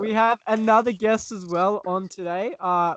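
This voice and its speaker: Dry, close sound with no echo, an Australian accent, fairly even intonation and a fairly slow pace against a quiet background. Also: man. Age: 20s. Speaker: podcast host. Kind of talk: casual chat.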